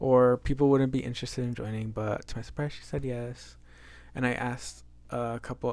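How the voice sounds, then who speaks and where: A man of medium pitch talks at a moderate pace with fairly even intonation. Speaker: book vlogger. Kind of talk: casual vlog talk. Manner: halting, with fillers.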